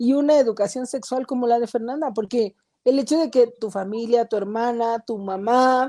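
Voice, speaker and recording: Her high-pitched voice has a dark, mellow tone and fairly even intonation, delivered at a moderate pace in a dry, close sound with no echo. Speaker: talk show co-host. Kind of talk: live-streamed panel discussion. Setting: online live stream.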